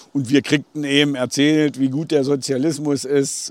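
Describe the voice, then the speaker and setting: A man speaks with an unremarkable speaking voice at medium pitch. His intonation stays fairly even. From Thuringia, Eichsfeld border area. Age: 50s. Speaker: village mayor, eyewitness. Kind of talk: interview, recounting memories. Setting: outdoors on a bridge by the river.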